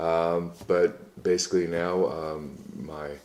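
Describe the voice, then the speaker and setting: A man with a very deep, low pitch. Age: 60s. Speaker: personal trainer. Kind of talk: casual interview. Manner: halting, many fillers.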